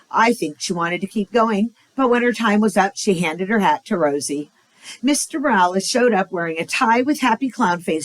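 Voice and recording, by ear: The text is read aloud in a natural voice.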